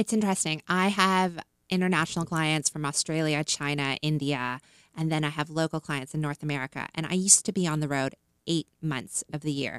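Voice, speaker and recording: A woman with a Canadian accent speaks at a very deep, low pitch with ordinary pitch variation. The recording is very clean and silent behind her, with a dry, close sound and no echo. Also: fairly quick pace. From Canada. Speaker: licensing and brand marketing consultant. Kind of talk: casual interview. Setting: studio.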